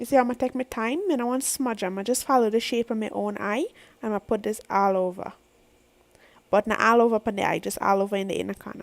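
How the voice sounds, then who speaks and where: Speaking at a very fast pace, a woman has a Guyanese accent. Her pitch is fairly high, with ordinary pitch variation. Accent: Guyanese Creole. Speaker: makeup vlogger. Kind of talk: makeup tutorial talk.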